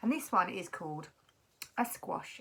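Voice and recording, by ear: A woman speaks at a medium pitch with lively intonation and a fairly bright tone. Vocal fry and a slightly husky edge color her voice.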